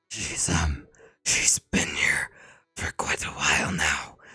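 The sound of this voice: A put-on character voice, raspy and whispering, at a fairly slow pace.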